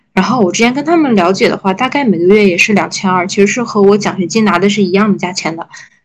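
A woman speaks at medium pitch with ordinary pitch variation and a somewhat breathy voice. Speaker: podcast co-host, PhD student. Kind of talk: casual chat.

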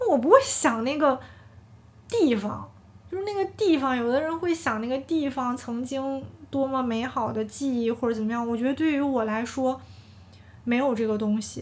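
With a slight northeastern Chinese accent, a woman talks at a moderate pace in a high pitch, her pitch varying in an ordinary way. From Heilongjiang, northeast China (county near Harbin). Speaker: podcast host. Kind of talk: casual monologue. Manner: relaxed, meandering.

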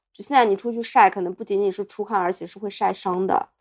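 The clip carries a plain, everyday voice, its pitch varying in an ordinary way. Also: woman. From Jiaxing, Zhejiang, China. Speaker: podcast co-host. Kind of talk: casual chat. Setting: hotel room.

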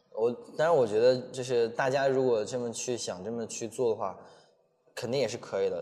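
Talking at a fairly quick pace, a man with a dark, mellow tone uses medium pitch and ordinary pitch variation. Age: 20s. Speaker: travel vlogger and street dancer. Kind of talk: casual interview chat.

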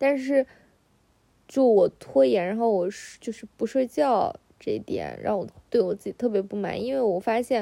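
A woman with a fairly high, dark, mellow voice speaks at a moderate pace with lively intonation, big swings in loudness and long, frequent pauses. The sound is dry and close, with no echo. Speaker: solo podcaster. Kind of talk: casual chat. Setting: lying in bed at home.

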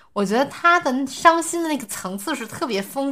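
A woman speaks at a high pitch with very wide pitch swings and a bright, sharp tone. The recording is very clean, with a silent background. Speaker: podcast host. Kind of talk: casual chat.

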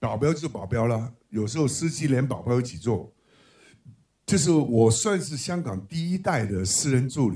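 In a very clean recording with a silent background, a man with a dark, mellow, somewhat breathy tone talks at a moderate pace and medium pitch, using lively intonation. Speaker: film director. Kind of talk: book talk with anecdotes. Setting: bookstore event with live audience.

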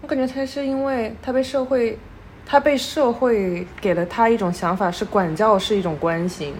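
Here is a normal speaking voice with lively intonation. Its pace is moderate. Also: woman, fairly high pitch for a woman. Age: 20s. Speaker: podcast co-host. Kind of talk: casual chat.

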